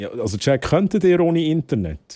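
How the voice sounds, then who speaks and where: A man's dark, mellow voice makes very wide pitch swings. The recording is very clean with a silent background, and the sound is dry and close with no echo. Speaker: streamer. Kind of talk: live stream chat.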